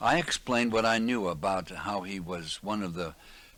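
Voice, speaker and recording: A man's fairly low pitch and bright, sharp tone at a moderate pace with ordinary pitch variation, on a very clean recording with a silent background. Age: 80s+. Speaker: war veteran; radio broadcaster. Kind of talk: personal war memoir narration.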